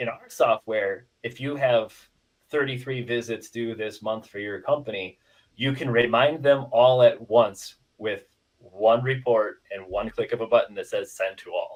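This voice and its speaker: A man speaks with a Midwestern accent. His pace is fairly slow. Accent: Midwestern, noted as close to Canadian. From US Midwest, Dubuque, Iowa. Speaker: HVAC software company representative. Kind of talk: casual podcast interview.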